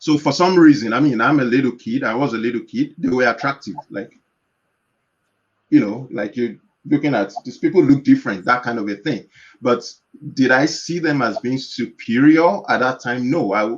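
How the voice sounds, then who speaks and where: A man with a Yoruba accent speaks at a moderate pace. His medium-pitched voice shows ordinary pitch variation. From Nigeria. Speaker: organization founder. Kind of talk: panel discussion. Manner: halting.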